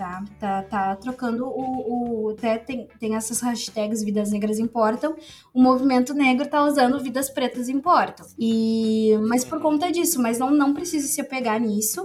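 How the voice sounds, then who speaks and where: Music plays in the background as a woman speaks in a high pitch. Her pace is fairly slow, with hardly any pauses. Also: ordinary pitch variation. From Rio Grande do Sul, Novo Hamburgo. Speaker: pedagogy student and researcher. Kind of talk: casual interview.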